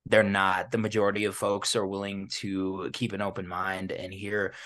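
Against a quiet background, a man with an American accent talks at a fairly slow pace and a fairly low pitch. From US, Chicano. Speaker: podcast host. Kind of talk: casual interview. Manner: talkative.

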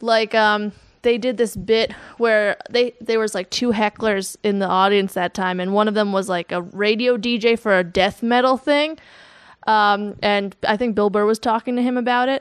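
A woman with an American accent and an ordinary speaking voice talks at a moderate pace in a fairly high pitch with fairly even intonation. The sound is dry and close with no echo, over a quiet background. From New Jersey. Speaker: stand-up comedian. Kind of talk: casual chat.

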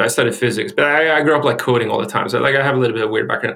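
A man with a Swedish accent talks at a very fast pace in a fairly high pitch. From Sweden. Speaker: tech executive, data engineer. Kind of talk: interview. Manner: halting.

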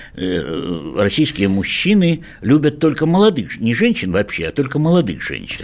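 This man talks fairly slowly at a medium pitch, his pitch swinging very widely. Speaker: sexologist. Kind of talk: radio talk show discussion. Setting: studio.

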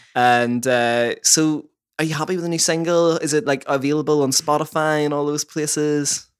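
A man with a Northern Irish accent talks at a moderate pace, his fairly high pitch held in fairly even intonation. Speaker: podcast host. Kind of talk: radio DJ patter, bright and chirpy presenter links between songs. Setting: recorded in a band member's house.

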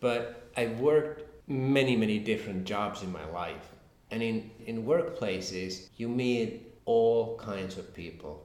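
A man's medium-pitched voice at a fairly slow pace, with ordinary pitch variation, big swings in loudness and audible room echo. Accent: Finnish. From Finland. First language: Finnish. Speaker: crime novelist. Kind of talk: interview. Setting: at a literary festival. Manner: halting, repetitive.

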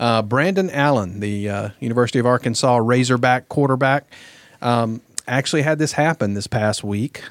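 On a very clean recording with a silent background and a dry, close sound with no echo, a man with a Southern US accent talks at a moderate pace and medium pitch with ordinary pitch variation. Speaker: guest co-host. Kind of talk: casual chat.

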